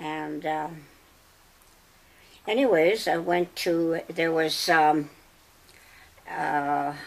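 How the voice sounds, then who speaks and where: Speaking in a Canadian Prairie accent, a woman has a fairly low pitch and fairly even intonation. Her pace is very slow, with long, frequent pauses. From Saskatchewan, Canada. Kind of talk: interview answer. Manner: slow, hesitant.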